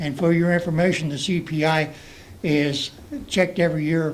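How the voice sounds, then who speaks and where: Audible room echo surrounds a man talking at a moderate pace in a fairly high pitch. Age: 70s. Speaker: public commenter at council meeting. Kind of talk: public comment. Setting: council meeting room. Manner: halting.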